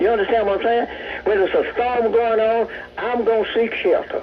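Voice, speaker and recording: A man talks with a Southern US accent. Noticeable background noise is present. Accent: Southern American. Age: 80s+. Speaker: caller. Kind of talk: phone-in rant.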